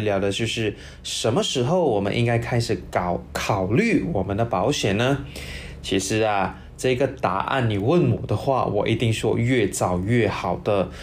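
Noticeable background noise sits behind a man of medium pitch who talks at a moderate pace with very even loudness. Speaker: financial planner hosting an insurance segment. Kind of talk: casual educational talk.

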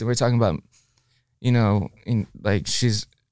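In a very clean recording with a silent background, a man with an American accent speaks in a normal speaking voice, at a fairly quick pace with a medium pitch and fairly even intonation. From Texas, Dallas. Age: 20s. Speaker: musician. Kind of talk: casual chat. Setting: studio.

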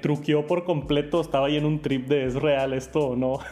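A man with a Mexican accent, fairly high in pitch, at a moderate pace. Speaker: tech youtuber. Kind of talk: casual chat.

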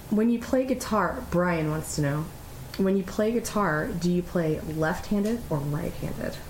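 Over noticeable background noise, a woman with a fairly low pitch speaks at a fairly slow pace in a serious tone, her intonation lively. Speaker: podcast host. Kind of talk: casual conversation with husband. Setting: recorded at home by a fire. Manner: serious, outgoing.

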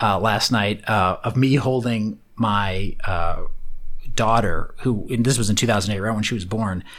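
Recorded very clean against a silent background, a man with a plain, everyday voice speaks at medium pitch with lively intonation. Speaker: tech entrepreneur and angel investor. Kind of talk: interview.

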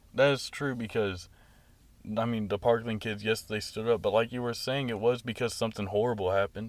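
In a very clean recording with a silent background, a man with a medium pitch talks at a fairly quick pace and keeps his intonation fairly even. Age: young. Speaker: college student guest. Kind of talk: casual chat. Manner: laughs often.

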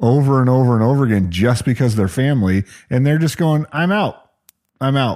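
This is a plain, everyday voice at a fairly quick pace. Its intonation is lively and its loudness very even. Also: man, medium pitch for a man. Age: 50s. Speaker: radio host and podcast co-host. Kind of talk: casual chat. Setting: studio.

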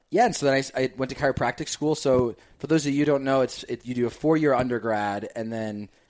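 With an American accent and an unremarkable speaking voice, a man speaks at a fairly quick pace and medium pitch with ordinary pitch variation. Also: very clean recording, silent background. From northern New Jersey. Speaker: chiropractor turned digital marketer. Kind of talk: casual interview chat.

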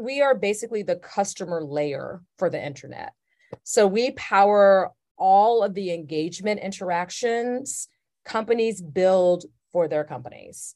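With an American accent, a woman of medium pitch and dark, mellow tone speaks at a fairly slow pace with lively intonation against a quiet background. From US South, Atlanta, Georgia. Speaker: corporate diversity executive. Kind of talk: interview.

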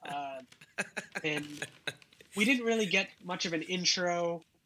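This man has a high pitch, a bright, sharp tone, lively intonation and a slight Massachusetts accent. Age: 30s. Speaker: comedian and website founder.

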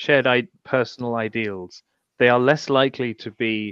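Recorded with a dry, close sound and no echo, a man speaks with a British accent. His pace is moderate and his pitch medium. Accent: British, noticeable. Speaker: blogger and Twitter commentator. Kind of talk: casual political discussion. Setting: online livestream. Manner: halting, many fillers.

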